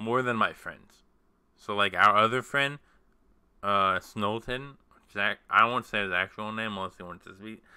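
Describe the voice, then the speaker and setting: Someone speaks with an American accent in a bright, sharp tone at a fairly slow pace. The intonation stays fairly even, and the recording is very clean with a silent background. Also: man. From United States. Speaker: podcast host. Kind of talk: casual chat.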